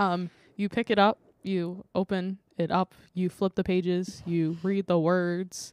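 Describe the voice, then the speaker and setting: The sound is dry and close, with no echo. A woman talks at a medium pitch. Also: fairly slow pace. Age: 20s. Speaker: podcast co-host. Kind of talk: casual chat. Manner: animated.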